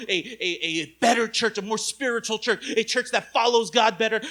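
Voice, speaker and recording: At a moderate pace, a man speaks in an extremely high pitch, his tone intense and angry, bright and sharp. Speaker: pastor. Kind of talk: sermon. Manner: intense, sounds angry; animated.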